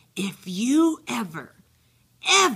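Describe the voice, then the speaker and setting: A hissing, put-on character voice at a middle pitch, with very wide pitch swings. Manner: menacing, threatening.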